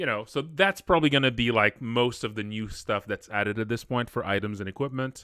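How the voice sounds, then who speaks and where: A man talks at a fairly quick pace, his tone bright and sharp. The sound is dry with no echo, over a quiet background. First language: not English. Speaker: indie game developer and streamer; streamer. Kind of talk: live stream development update. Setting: live stream. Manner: casual with many fillers and restarts. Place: home room.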